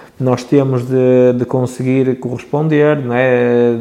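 Noticeable background noise beneath a man's voice, medium in pitch and fairly even in intonation. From northern Portugal, Barcelos. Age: 30s. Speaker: young entrepreneur, shop owner. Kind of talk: podcast interview. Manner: hesitant, many fillers and repetitions.

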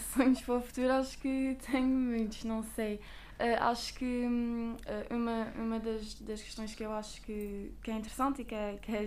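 A woman talks in a fairly high pitch with monotone, flat intonation. Audible room echo is heard around her voice. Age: 20s. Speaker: biochemist and master's student. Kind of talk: interview.

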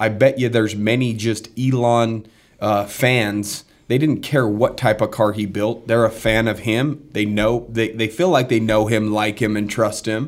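A man with an ordinary speaking voice, medium pitch and fairly even intonation talks at a fairly slow pace in a very clean recording with a silent background. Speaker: podcast host. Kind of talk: casual business podcast chat. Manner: confident, motivational.

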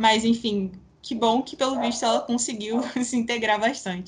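An ordinary speaking voice at a moderate pace with fairly even intonation. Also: woman. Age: 20s. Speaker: sports journalist. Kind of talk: interview.

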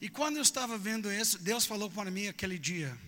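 A man uses a raised, projected voice with a bright, sharp tone. His pitch varies in an ordinary way. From Texas, US. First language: English (speaking Portuguese). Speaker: preacher. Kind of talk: sermon. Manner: animated; halting.

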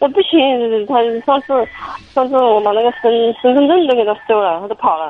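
A woman speaks in a high pitch with lively intonation. Her pace is fairly quick, broken by long, frequent pauses. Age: 40s. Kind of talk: phone call-in. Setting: phone call from a car. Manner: halting, hesitant.

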